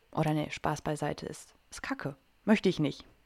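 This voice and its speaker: A woman speaks fairly slowly in a very deep, low pitch with ordinary pitch variation, on a very clean recording with a silent background. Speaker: coach and podcast host. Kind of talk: solo podcast monologue. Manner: animated.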